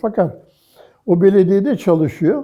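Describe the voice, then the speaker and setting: Lively intonation marks this man's very slow speech. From Istanbul, Turkey. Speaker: art historian. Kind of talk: oral history interview answer.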